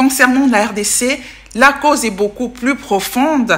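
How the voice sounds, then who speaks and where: With a Congolese accent, a woman talks at a fairly slow pace in a bright, sharp tone, using ordinary pitch variation. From DR Congo, Bukavu (South Kivu). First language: Tetela (speaking French). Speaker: political commentator, youtuber. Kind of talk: video commentary.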